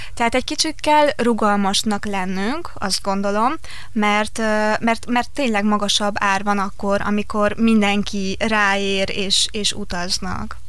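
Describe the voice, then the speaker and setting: Audible room echo surrounds speech at a very slow pace, with very even loudness and ordinary pitch variation. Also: woman, medium pitch for a woman. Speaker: travel writer and tour organiser. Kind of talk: radio interview. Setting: studio.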